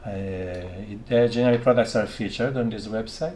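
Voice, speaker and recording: A man talks at a fairly slow pace. He has a non-native accent. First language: not English. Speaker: electronics maker live-streaming his workshop. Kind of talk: live stream workshop chat. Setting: home laboratory. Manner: halting, many fillers.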